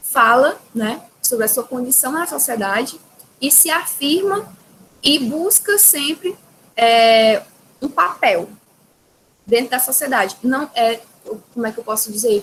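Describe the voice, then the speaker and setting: Lively intonation marks a woman's high voice as she speaks at a fairly slow pace with long, frequent pauses. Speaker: teacher. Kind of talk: lecture.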